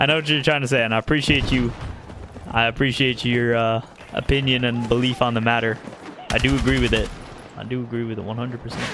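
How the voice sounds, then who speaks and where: Over noticeable background noise, a man with an American accent speaks at a very fast pace in a monotone, flat intonation, with long, frequent pauses. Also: medium pitch for a man. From US, Arizona. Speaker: video game streamer. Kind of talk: live gameplay commentary and chat with viewers.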